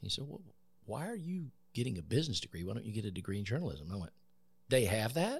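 The speaker has an American accent and talks at a very fast pace with long, frequent pauses. The somewhat breathy voice makes very wide pitch swings. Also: man, medium pitch for a man. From US South, Columbus, Georgia area. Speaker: veteran and former news director. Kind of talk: interview. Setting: podcast studio.

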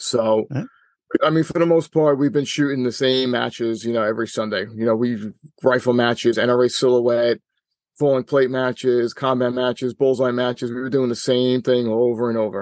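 A man with a New York accent speaks at medium pitch and a moderate pace, his intonation fairly even. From New York City, Staten Island. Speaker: regional director of a shooting sports association. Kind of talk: interview. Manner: hesitant, many fillers.

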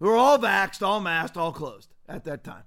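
A man speaks in an animated, bright and sharp tone on a very clean recording with a silent background. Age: 50s. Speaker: pastor and podcast host. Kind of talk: live political commentary show. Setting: studio livestream.

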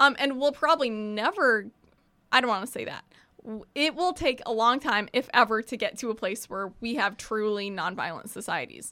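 A woman with an American accent speaks at a moderate pace, her fairly high voice bright and sharp with lively intonation. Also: very clean recording, silent background. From Evanston, Illinois, US Midwest. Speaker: college student and community organizer. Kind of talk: casual interview.

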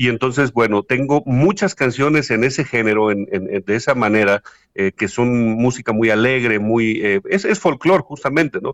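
A man at medium pitch with ordinary pitch variation, moderate pace and hardly any pauses, dry and close with no echo over a quiet background. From Mexico, Huasteca region of Hidalgo. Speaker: singer-songwriter. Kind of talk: interview. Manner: halting with many fillers.

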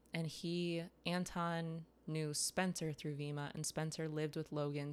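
In an American accent, a woman speaks with very deep, low pitch and monotone, flat intonation at a fairly slow pace, on a very clean recording with a silent background. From US Midwest, near Detroit. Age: 20s. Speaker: chef. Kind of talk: casual chat. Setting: in host's kitchen.

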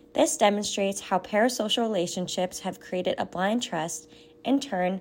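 In a normal speaking voice, a woman talks at a moderate pace and medium pitch with lively intonation. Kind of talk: scripted narration. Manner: formal.

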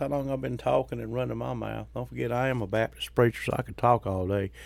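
The voice carries a Mississippi accent. The recording is very clean, with a silent background. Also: man. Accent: Southern US (Mississippi). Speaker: podcast host and Baptist preacher. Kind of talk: casual monologue. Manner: folksy, halting with fillers.

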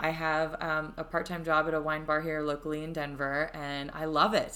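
A woman with an American accent talks at a moderate pace in a very deep, low pitch and a bright, sharp tone. Audible room echo surrounds her voice. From Florida, US. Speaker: life coach. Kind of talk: interview, personal story. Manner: many fillers, hesitant.

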